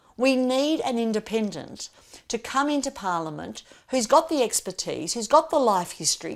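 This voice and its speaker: A woman with an Australian accent talks at a moderate pace and fairly high pitch, her pitch swinging very widely. The recording is very clean with a silent background. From Australia, Melbourne. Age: 60s. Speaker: political candidate. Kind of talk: campaign interview monologue.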